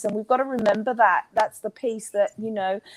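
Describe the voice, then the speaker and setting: A woman with an Australian accent, fairly high-pitched, in a dry, close sound with no echo against a quiet background. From Australia, Queensland. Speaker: intuitive healer and coach. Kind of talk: interview.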